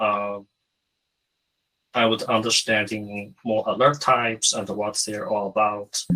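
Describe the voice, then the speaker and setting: Speaking in a Chinese accent, a man of medium pitch keeps a monotone, flat intonation. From China. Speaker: SOC security analyst. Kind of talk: interview. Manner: halting, many fillers.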